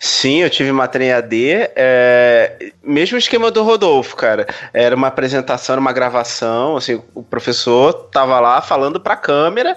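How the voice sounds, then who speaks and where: A man with an ordinary speaking voice and medium pitch talks at a moderate pace with lively intonation. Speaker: podcast co-host, environmental engineer. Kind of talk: casual chat.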